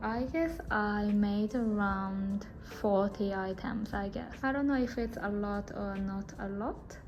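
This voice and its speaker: Amid noticeable background noise and audible room echo, a woman with a non-native accent speaks very slowly at a fairly high pitch with fairly even intonation. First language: not English. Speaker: crochet and knitting content creator. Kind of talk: casual show-and-tell vlog. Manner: halting.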